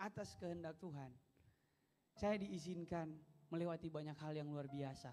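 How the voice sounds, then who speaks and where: Here a man speaks at a moderate pace. His pitch is high, with ordinary variation. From Manado, North Sulawesi, Indonesia. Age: 20s. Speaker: pastor. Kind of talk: sermon. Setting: church.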